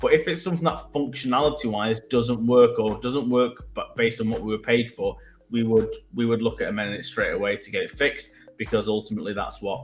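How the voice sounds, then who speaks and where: Someone with a Mancunian accent talks at a very fast pace. Music plays in the background. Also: man. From Manchester, England. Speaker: web developer. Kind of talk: casual chat.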